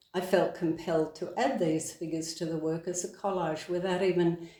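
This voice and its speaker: Moderate-paced speech from a woman with an Australian accent. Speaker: author and podcaster. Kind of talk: reading from own book.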